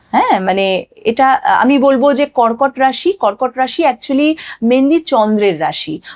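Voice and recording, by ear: Speaking at a fairly slow pace, a woman uses a high pitch, lively intonation and a slightly mellow tone.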